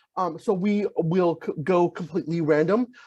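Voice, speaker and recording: A man is speaking. His pitch is high. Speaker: university housing staff. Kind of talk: live Q&A answering parent questions. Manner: fast.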